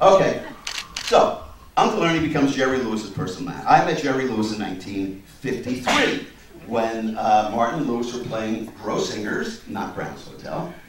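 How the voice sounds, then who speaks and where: A man with an American accent at medium pitch and moderate pace, lively in intonation with big swings in loudness, amid audible room echo and noticeable background noise. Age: 60s. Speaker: comedian. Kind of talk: speech at a party. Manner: animated.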